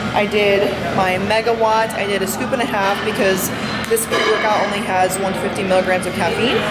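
A woman speaks at a moderate pace over loud background noise. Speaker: vlogger. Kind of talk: casual vlog chat. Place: gym. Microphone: phone near.

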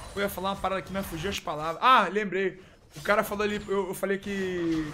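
A man with a high pitch talks in a raised, projected voice at a fairly quick pace. His tone is animated. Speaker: esports caster and streamer. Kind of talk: live commentary. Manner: stammering.

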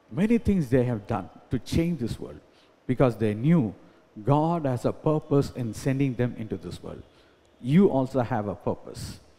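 At a moderate pace, a man talks in a dark, mellow tone with lively intonation. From India. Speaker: pastor. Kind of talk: sermon. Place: church. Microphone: podium.

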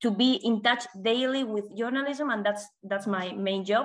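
A woman talks with ordinary pitch movement, and the background stays quiet. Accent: Spanish. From Spain. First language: Spanish. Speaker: communications officer, former journalist. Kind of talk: presentation. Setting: video call. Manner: halting. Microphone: video call.

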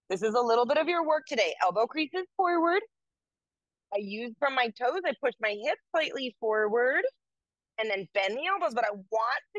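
The sound is dry with no echo and the background is quiet. Pitch swings are very wide. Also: woman. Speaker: yoga teacher. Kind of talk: yoga class instruction, with a soft guided-meditation feel. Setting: yoga studio class. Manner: calm, gentle, cueing poses slowly; casual, conversational. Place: home room.

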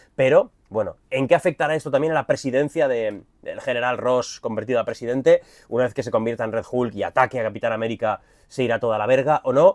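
The man speaks at a very fast pace with an animated tone. His pitch sits at a medium level. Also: ordinary pitch variation, quiet background. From Spain. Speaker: YouTuber, film and comics commentator; YouTuber, comics commentator. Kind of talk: trailer reaction video. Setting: cruise ship cabin. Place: home room. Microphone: lapel.

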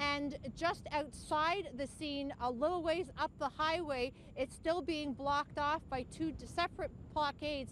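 Here a woman speaks in a high voice with ordinary pitch variation. Light background noise can be heard. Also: dry sound with no echo. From Canada. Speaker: television news anchor and reporter. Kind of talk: breaking news field report. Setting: outdoors on location. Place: open country. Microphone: handheld.

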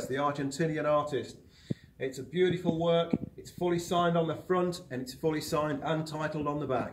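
A man with a fairly high pitch speaks at a fairly quick pace in an upbeat, enthusiastic tone over noticeable background noise. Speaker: auctioneer. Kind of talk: promotional presentation to camera for an auction house. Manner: upbeat, brisk, enthusiastic. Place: hall.

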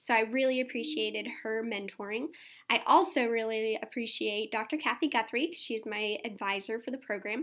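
A woman's fairly high voice with an American accent and ordinary pitch variation, over a quiet background. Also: moderate pace. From Texas, San Antonio; Texas. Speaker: doctoral student. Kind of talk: interview testimonial. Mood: warm, upbeat. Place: office. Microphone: webcam.

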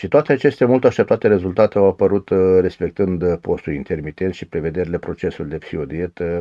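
Over a quiet background, a man with a very deep, low pitch and a dark, mellow tone speaks at a fairly quick pace with ordinary pitch variation. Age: 50s. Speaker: diet program participant. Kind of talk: testimony. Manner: formal. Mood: calm, pleased. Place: home room. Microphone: phone near.

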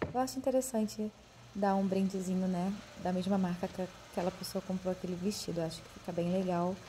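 Light background noise sits behind a woman speaking. Her delivery is fairly quick, with monotone, flat intonation. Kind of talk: casual vlog chat. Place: home room. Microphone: phone near.

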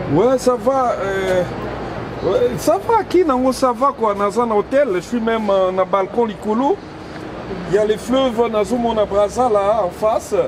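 Against crowd noise in the background, a man speaks at a high pitch with ordinary pitch variation and very even loudness. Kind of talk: acted phone conversation, casual. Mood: relaxed, boastful, impressed.

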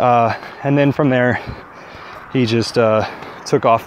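A man talks in a monotone, flat intonation. The sound is dry with no echo, with light background noise. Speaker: vlogger on a walk. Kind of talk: casual vlog chat. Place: forest. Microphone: earbuds.

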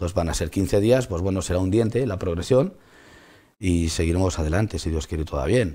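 The voice is somewhat breathy, with a dark, mellow tone and ordinary pitch variation. It moves at a fairly quick pace against a quiet background. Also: man. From Spain. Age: 50s. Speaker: trucking company owner. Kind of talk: interview. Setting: studio. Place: studio.

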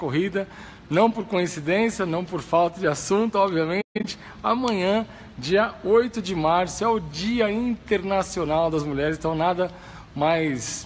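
Amid light background noise, a man with a high pitch and ordinary pitch variation talks at a fairly slow pace. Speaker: running coach. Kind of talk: live stream talk. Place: gym. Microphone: phone near.

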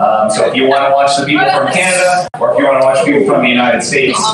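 A man's voice comes through strong room echo and noticeable background noise. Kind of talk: announcement to room. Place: hall. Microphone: camera far.

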